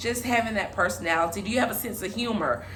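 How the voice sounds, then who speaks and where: Over noticeable background noise and audible room echo, a woman with a bubbly tone talks at a fairly quick pace, her medium pitch showing ordinary variation. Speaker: relationship vlogger. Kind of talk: casual vlog monologue. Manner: loud, bubbly; halting with many fillers.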